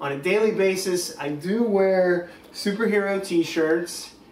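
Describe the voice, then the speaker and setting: With an American accent and an enthusiastic tone, a man speaks at a high pitch with ordinary variation, amid noticeable background noise and audible room echo. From Pittsburgh, Pennsylvania, US. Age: 20s. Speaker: vlogger. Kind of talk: casual vlog tour. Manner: hesitant, many fillers.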